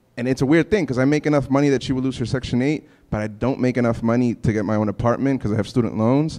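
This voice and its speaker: Over a quiet background, a man with a New York accent talks very fast in a dark, mellow tone with ordinary pitch variation. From New York City (Bushwick, Brooklyn). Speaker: housing activist; panelist. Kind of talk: panel discussion. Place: hall. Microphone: handheld.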